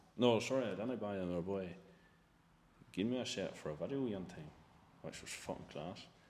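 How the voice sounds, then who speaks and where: A man in a Northern Irish accent talks at a moderate pace with long, frequent pauses, his fairly low pitch varying in an ordinary way. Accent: Northern Irish, rural. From Northern Ireland. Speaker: part-time farmer. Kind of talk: podcast interview answer. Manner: casual, sweary.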